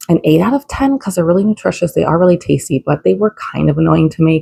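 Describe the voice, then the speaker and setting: A woman whispers at a very fast pace. The sound is dry and close, with no echo. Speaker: vlogger mom. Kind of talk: casual vlog tutorial. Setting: home kitchen. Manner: casual with fillers; whispering.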